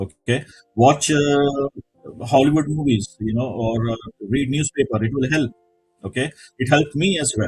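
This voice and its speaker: Music plays in the background as a man with an Indian accent talks at a moderate pace and a fairly high pitch. The sound is dry and close with no echo, and he leaves long, frequent pauses. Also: ordinary pitch variation. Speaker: business executive. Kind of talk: interview.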